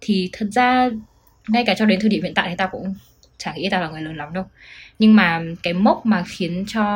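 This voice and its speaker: A woman with a medium, somewhat breathy voice talks at a very fast pace broken by long, frequent pauses, showing ordinary pitch variation and big swings in loudness. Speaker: podcast co-host. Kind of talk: casual chat.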